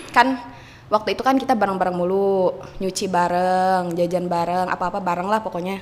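A woman at medium pitch, fairly even in intonation and moderate in pace, with noticeable background noise. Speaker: former boarding-school student and vocational trainee. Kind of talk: casual chat. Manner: halting.

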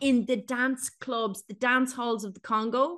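A woman with a high voice and an Irish accent, speaking at a fairly slow pace against a quiet background. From Ireland. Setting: home recording.

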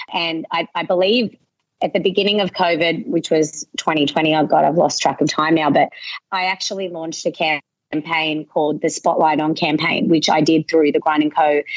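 A woman with an Australian accent, fairly low-pitched, ordinary pitch variation, moderate pace, dry, close sound with no echo. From western Sydney, Australia. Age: 30s. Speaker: local business owner. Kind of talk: interview.

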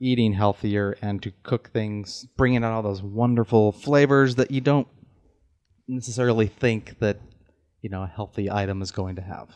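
A man's fairly low-pitched voice at a moderate pace, with fairly even intonation and a quiet background. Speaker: podcast co-host. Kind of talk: casual podcast interview.

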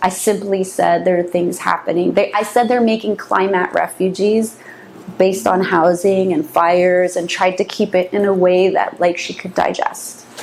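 Amid noticeable background noise, a woman with a medium pitch speaks at a moderate pace with fairly even intonation. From San Francisco Bay Area. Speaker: interviewee on occult topics. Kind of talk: interview.

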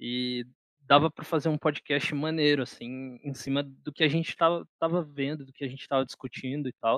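Monotone and flat in intonation, a man's voice shows big swings in loudness. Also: fairly high pitch for a man, moderate pace. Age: 20s. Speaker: podcast co-host, journalism student. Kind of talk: casual chat.

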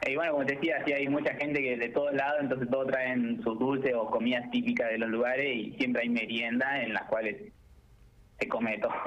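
The speech moves at a fairly quick pace with ordinary pitch variation and very even loudness. Audible room echo and noticeable background noise are present. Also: man, medium pitch for a man. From Argentina, La Pampa. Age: young. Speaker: architecture student. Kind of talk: radio interview.

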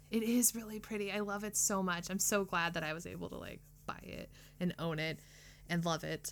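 A woman's fairly low, animated voice at a fairly quick pace with ordinary pitch variation, with music in the background. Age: 30s. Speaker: podcast co-host. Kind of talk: casual chat.

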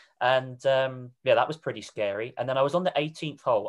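Against a quiet background, a man with a southern English accent speaks fairly quickly at a medium pitch. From southern England, Reading. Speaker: golf coach and podcast host. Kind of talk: casual interview. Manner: enthusiastic.

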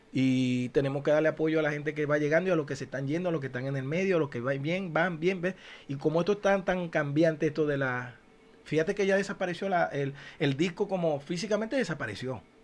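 Talking at a very fast pace, a man uses a fairly high pitch. His pitch varies in an ordinary way. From Venezuela, Zulia eastern coast. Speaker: podcast co-host, musician. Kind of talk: casual chat. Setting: studio.

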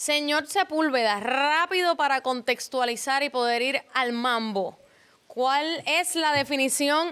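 A woman with a high pitch and a bright, sharp tone speaks at a very slow pace and very even loudness. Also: ordinary pitch variation. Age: 30s. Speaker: podcast host. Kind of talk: interview.

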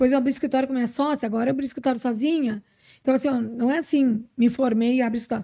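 On a very clean recording with a silent background, a woman with a southern Brazilian accent speaks very fast, her high-pitched voice dark and mellow in tone, with fairly even intonation. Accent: Brazilian Portuguese, gaúcho. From interior of Rio Grande do Sul, Brazil. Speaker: social security lawyer. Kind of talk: casual interview.

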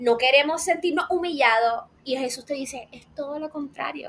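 A woman's raised, projected voice, bright and sharp in tone, animated, with lively intonation at a moderate pace. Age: 20s. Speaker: psychology student, faith and mental health content creator. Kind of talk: casual interview chat.

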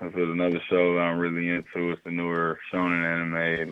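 In an American accent, a man talks with a very deep, low pitch. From Detroit. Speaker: hip hop artist. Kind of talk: casual chat.

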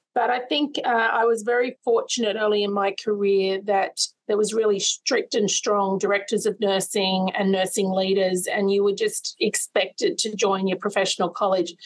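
A woman with an Australian accent, her loudness very even and her intonation fairly even. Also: medium pitch for a woman, moderate pace. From Sydney's western suburbs, Australia. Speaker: nursing college CEO. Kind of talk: interview.

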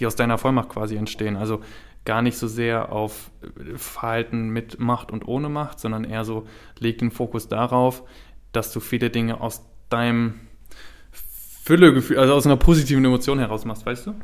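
Long, frequent pauses break up a man's speech at a moderate pace. His medium pitch stays fairly even in a very clean recording with a silent background. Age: 20s. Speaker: podcast co-host. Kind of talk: casual chat.

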